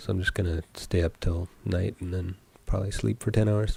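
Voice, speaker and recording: A man talks at a fairly quick pace with an American accent. His tone is dark and mellow. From US West Coast. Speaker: indie game developer streamer. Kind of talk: casual live stream chat. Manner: low-energy.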